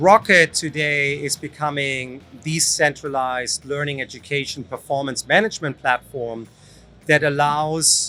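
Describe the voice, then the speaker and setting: With a German accent, a man speaks at a fairly slow pace, his fairly high pitch carrying a bright, sharp tone. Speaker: company founder and CEO. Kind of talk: interview. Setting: trade show stand.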